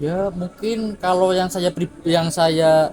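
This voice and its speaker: High-pitched male speech with fairly even intonation. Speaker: university student. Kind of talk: interview answer.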